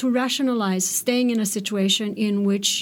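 A woman speaks with a Romanian accent in a fairly high, somewhat breathy voice. The recording is very clean, with a silent background. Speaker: poet and professor. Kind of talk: interview and lecture excerpts.

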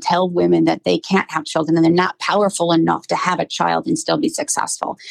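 A woman speaks with a Midwestern American accent at a fairly quick pace. The sound is dry and close, with no echo. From Akron, Ohio. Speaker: political candidate, business development director. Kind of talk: interview.

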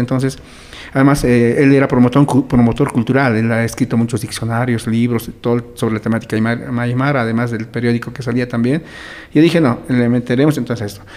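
Against noticeable background noise, a man at medium pitch talks at a very fast pace with fairly even intonation. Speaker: educator and social communicator. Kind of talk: interview.

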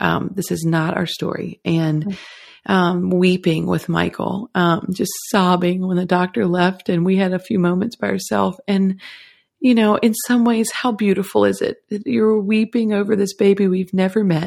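On a very clean recording with a silent background, a woman talks at a moderate pace in a plain, everyday voice. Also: medium pitch for a woman, ordinary pitch variation. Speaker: guest, photographer. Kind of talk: casual interview chat.

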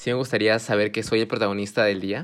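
With a plain, everyday voice, a man speaks at a fairly quick pace and fairly low pitch, his intonation fairly even. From Japan (Fuji), Peruvian parents. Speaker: university student. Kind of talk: casual chat.

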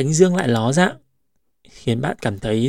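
Recorded with a dry, close sound and no echo, an unremarkable speaking voice moves at a moderate pace with lively intonation. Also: man. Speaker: podcast host. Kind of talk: reflective monologue. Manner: calm.

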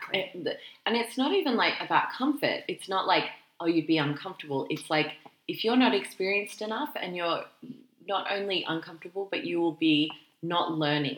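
With an Australian accent, a woman talks at a fairly quick pace in a medium pitch with lively intonation. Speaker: careers podcast co-host. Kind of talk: casual chat.

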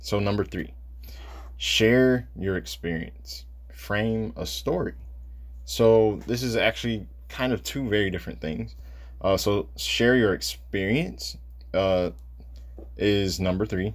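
In a very deep, low voice with very wide pitch swings, a man with an American accent speaks at a very slow pace, somewhat breathy, with long, frequent pauses. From Michigan, Detroit. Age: 20s. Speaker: podcast host, visual artist. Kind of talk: solo podcast monologue.

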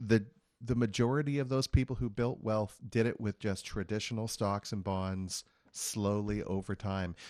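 This man talks at a moderate pace in a fairly low pitch with fairly even intonation. He has a normal speaking voice, and the recording is very clean with a silent background. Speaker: financial advisor. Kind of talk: radio talk show discussion. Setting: studio. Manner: explanatory.

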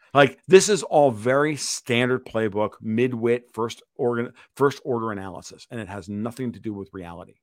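An animated male voice at a moderate pace, with ordinary pitch variation and big swings in loudness. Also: medium pitch for a man. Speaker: financial and political commentator. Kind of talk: podcast interview. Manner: profane.

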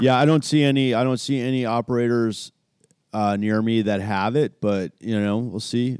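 Moderate in pace, a normal speaking voice moves with fairly even intonation. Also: man, medium pitch for a man. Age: 40s. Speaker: pinball podcast co-host. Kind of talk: casual chat. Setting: remote call recorded from home.

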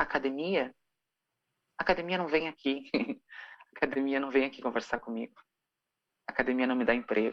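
A woman with a Rio Grande do Sul accent speaks at a fairly quick pace in a very deep, low pitch, with ordinary pitch variation and long, frequent pauses. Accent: gaúcho (Rio Grande do Sul). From southern Brazil, rural Rio Grande do Sul. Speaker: singer and actress. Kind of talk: casual interview. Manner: animated.

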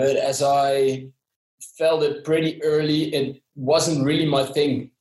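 Very slow, monotone speech from a man with a Dutch accent, fairly high in pitch, somewhat breathy and very even in loudness. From southern Netherlands. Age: 20s. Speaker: sportswear company employee. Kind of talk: interview. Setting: video call. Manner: halting with many fillers.

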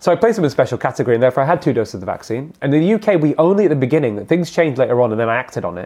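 A man with a British accent speaks at a very fast pace in a fairly high pitch. His tone is dark and mellow, with very wide pitch swings. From England. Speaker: cardiologist. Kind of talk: interview.

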